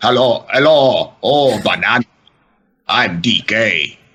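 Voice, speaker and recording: Using a put-on character voice, a man speaks raspy and fairly slow at a medium pitch. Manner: playful.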